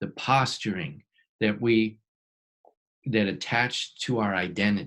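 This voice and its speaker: Speaking very slowly, a man has a medium-pitched voice with a bright, sharp tone. His pitch varies in an ordinary way. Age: 60s. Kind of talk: teaching talk to a small group. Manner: halting, with many fillers and restarts.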